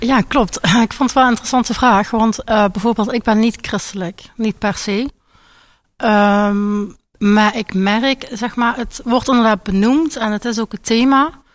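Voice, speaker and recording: In a very clean recording with a silent background, a woman with a Limburg accent speaks at a fairly slow pace, her pitch fairly high and her intonation fairly even. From Limburg, Netherlands. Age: 20s. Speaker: patient in treatment. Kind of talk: radio interview.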